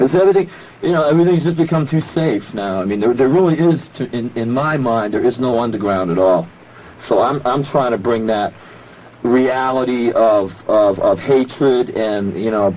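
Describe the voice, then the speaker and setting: Noticeable background noise accompanies a man speaking at medium pitch and a moderate pace with lively intonation. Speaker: underground rock performer. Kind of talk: radio interview answer. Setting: radio studio. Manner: calm.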